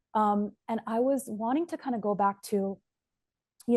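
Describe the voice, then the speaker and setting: A woman's dark, mellow tone at medium pitch with ordinary pitch variation, against a quiet background. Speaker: immigration lawyer, interviewer. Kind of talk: interview.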